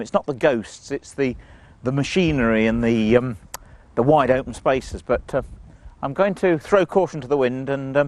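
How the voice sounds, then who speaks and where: A plain, everyday voice with lively intonation at a moderate pace. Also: man. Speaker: ghost tour presenter. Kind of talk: casual on-location talk to camera.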